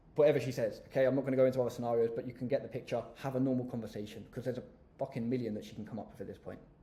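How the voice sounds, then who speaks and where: With an English accent, a man talks very fast at a medium pitch, his tone dark, mellow and confident, his voice somewhat breathy and his intonation fairly even. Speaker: business coach youtuber. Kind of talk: tutorial.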